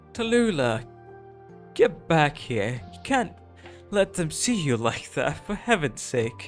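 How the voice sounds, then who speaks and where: Over clear background music, a man puts on a shaky character voice at a fairly high pitch, swinging very widely in pitch and talking at a fairly slow pace with long, frequent pauses. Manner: scolding, shaky.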